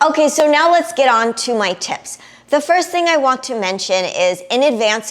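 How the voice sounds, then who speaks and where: Speaking with a New York accent, a woman has an animated tone with very wide pitch swings at a moderate pace. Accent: noticeable New York. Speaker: travel vlogger. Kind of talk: casual tutorial.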